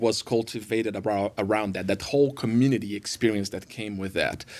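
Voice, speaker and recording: In a Brazilian accent, a man with a medium pitch speaks at a fairly quick pace on a very clean recording with a silent background. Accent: Brazilian Portuguese accent, noticeable. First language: Portuguese. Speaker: worship pastor. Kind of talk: podcast interview. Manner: halting, many fillers.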